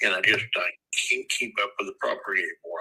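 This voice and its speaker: A man's raised, projected voice. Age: 70s. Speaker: property owner selling a rental house. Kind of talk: phone call with investor. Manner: halting, many fillers and repeats.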